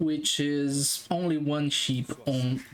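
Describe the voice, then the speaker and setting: The speaker has a non-native accent, and noticeable background noise runs under the voice. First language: not English. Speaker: game analyst YouTuber. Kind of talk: gameplay analysis commentary. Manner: halting, many fillers.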